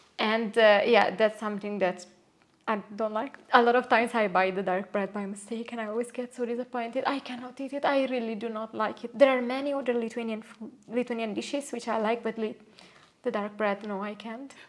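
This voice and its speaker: A woman keeps her intonation fairly even over noticeable background noise. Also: fairly high pitch for a woman, fairly quick pace. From Italy, Naples. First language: Italian. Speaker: Italian expat interviewee. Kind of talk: casual interview chat. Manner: hesitant, many fillers.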